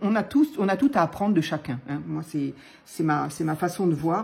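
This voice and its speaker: Somewhat breathy, this voice has a dark, mellow tone. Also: woman. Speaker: papercraft youtuber. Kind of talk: crafting tutorial chat. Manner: hesitant, many fillers.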